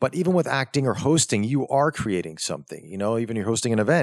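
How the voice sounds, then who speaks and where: A man with a medium pitch speaks in an animated tone with lively intonation, the sound dry and close with no echo. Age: 40s. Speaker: actor, model and radio host. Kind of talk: casual interview chat. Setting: studio. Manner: gregarious, animated.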